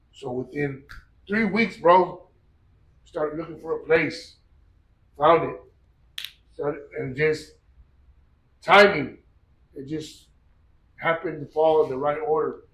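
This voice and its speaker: The delivery is fairly slow, broken by long and frequent pauses, with ordinary pitch variation. Loudness swings widely, and the room echo is audible. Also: man, fairly high pitch for a man. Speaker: gym owner and strength athlete. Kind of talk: interview storytelling. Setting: gym. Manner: animated.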